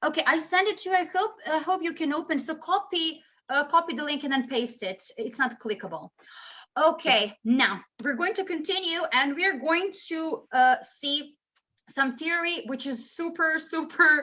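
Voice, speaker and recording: Raised and projected, a woman's extremely high voice carries a bright, sharp tone and lively intonation at a moderate pace. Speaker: English teacher trainer. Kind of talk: webinar presentation.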